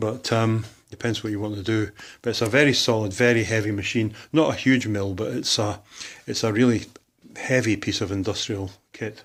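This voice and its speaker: A man with a Scottish accent talks at a fairly low pitch and a moderate pace. His intonation is fairly even, on a very clean recording with a silent background. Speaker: hobbyist machinist. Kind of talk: workshop tour. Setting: workshop. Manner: casual, hesitant with fillers.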